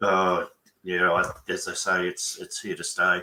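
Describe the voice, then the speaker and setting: An Australian accent comes through clearly. The speaker is a man. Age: 60s. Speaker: business mentor and bookkeeper. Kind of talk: webinar conversation.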